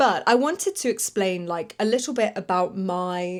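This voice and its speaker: A woman with a British accent talks at a fairly slow pace, her medium pitch showing ordinary variation. The recording is very clean, with a silent background. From UK. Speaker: English teacher and podcast host. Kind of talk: educational podcast monologue. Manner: clear, moderate pace for learners.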